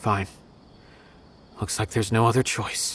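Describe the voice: A man uses a put-on character voice, fairly low in pitch with a slightly husky edge. He speaks slowly, with little pitch movement.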